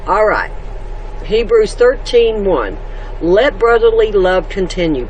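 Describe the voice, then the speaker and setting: Noticeable background noise sits under a fairly slow voice with a Southern US accent. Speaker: homestead vlogger. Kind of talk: casual devotional talk. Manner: loud.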